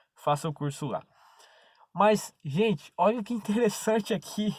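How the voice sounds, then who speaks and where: A somewhat breathy man speaks at a fairly slow pace with lively intonation. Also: very clean recording, silent background. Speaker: preacher. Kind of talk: sermon.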